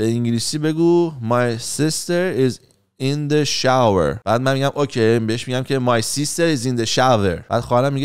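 With lively intonation and a fairly quick pace, a man speaks over a quiet background. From Iran. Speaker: YouTuber and life coach; YouTuber, life coach. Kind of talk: casual monologue. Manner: casual, conversational. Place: home room. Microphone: studio mic.

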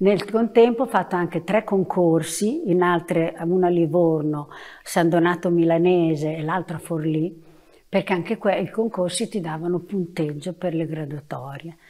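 Her tone dark and mellow, a woman speaks at a fairly low pitch and a moderate pace with ordinary pitch variation. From Bologna, Italy; Italy. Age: 70s. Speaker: retired preschool teacher. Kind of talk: oral history interview. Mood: calm, reflective. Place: classroom. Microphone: lapel.

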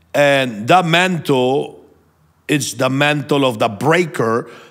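Against a quiet background, a man with a fairly high pitch and ordinary pitch variation speaks at a very slow pace. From Venezuela. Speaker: prophet and minister. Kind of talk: sermon-like teaching and prayer. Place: studio. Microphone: studio mic.

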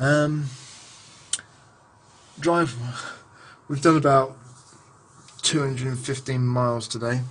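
The man's voice sits at a medium pitch with a fairly bright tone and fairly even intonation. He goes slowly, pausing long and often.

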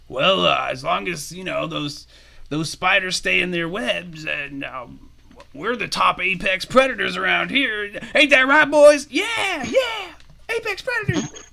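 A man's high, raised and projected voice at a fairly slow pace. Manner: swaggering, boastful, laughing.

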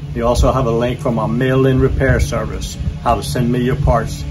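With music behind him, a man talks at a moderate speed. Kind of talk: channel outro promo talk. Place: open country.

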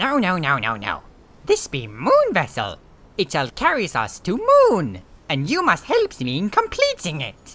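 This is a put-on character voice. It moves along fairly slowly. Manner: excitable, broken grammar.

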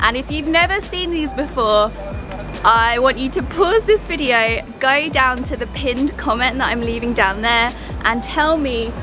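Over clear background music, a woman speaks at a high pitch, the sound dry with no echo. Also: moderate pace. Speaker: travel vlogger. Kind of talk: casual vlog chat. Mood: cheerful, curious. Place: street. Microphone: phone near.

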